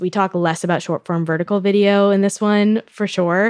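A woman has a normal speaking voice with fairly even intonation. She speaks at a moderate pace over a quiet background. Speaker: media editor and podcast host. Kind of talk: podcast interview.

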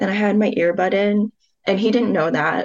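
At a fairly quick pace, a woman talks with ordinary pitch variation in an ordinary speaking voice. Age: 20s. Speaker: listener seeking advice. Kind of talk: casual chat.

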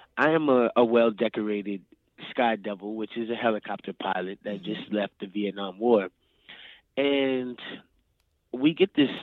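At a moderate pace, a man with a slight New Orleans accent speaks at a fairly low pitch with fairly even intonation. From New Orleans, Louisiana. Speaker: actor. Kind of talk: interview.

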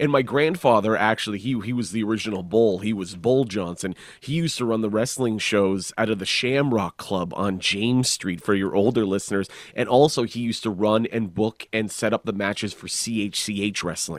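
A man with a plain, everyday voice talks at a fairly quick pace, pitched fairly low with ordinary pitch variation. He takes hardly any pauses on a very clean recording with a silent background. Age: 30s. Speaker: stand-up comedian and author. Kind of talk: casual interview.

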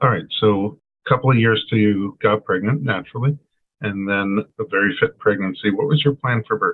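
Fairly quick and medium in pitch, a man uses an ordinary speaking voice with ordinary pitch variation. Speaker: podcast host and chiropractor. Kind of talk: interview.

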